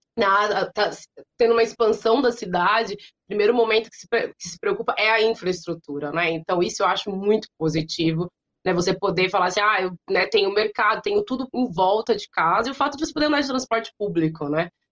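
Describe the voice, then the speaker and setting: A woman speaks in a normal speaking voice at a fairly quick pace, with a medium pitch and ordinary pitch variation. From interior of São Paulo state, Brazil. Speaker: language teacher and consultant. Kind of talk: interview.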